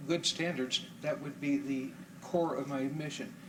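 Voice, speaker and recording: A man with a fairly high voice speaks at a moderate pace with fairly even intonation. Noticeable background noise and audible room echo surround him. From Florida, Tampa. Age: 60s. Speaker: public commenter at city council. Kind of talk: public comment. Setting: city council meeting.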